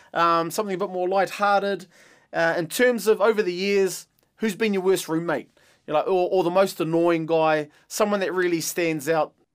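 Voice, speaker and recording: A man's high-pitched voice at a moderate pace, with fairly even intonation, on a very clean recording against a silent background. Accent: New Zealand. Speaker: podcast host, former rugby player. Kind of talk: casual chat.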